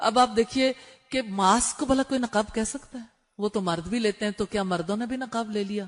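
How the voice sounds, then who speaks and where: Ordinary pitch variation marks an unremarkable speaking voice. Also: woman. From Pakistan. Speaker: Islamic scholar and preacher. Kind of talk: religious lecture on Hajj rules for women.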